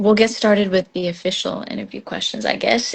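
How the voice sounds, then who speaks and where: This woman has an American accent and sounds somewhat breathy. Her pitch moves with ordinary variation. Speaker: interviewer. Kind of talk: interview.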